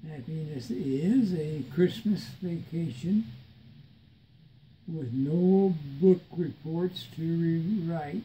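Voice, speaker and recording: Against light background noise, a man with a high pitch and a dark, mellow tone speaks very slowly with long, frequent pauses. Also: ordinary pitch variation. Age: 80s+. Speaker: retired father with Alzheimer's. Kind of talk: reading aloud from a book to family. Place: home room. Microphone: phone near.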